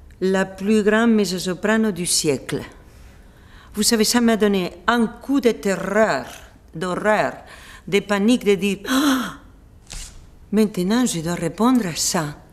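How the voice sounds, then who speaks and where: With a Spanish accent, a woman at medium pitch speaks at a very slow pace with ordinary pitch variation and long, frequent pauses over noticeable background noise. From Spain. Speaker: opera singer. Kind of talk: interview answer. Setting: indoors.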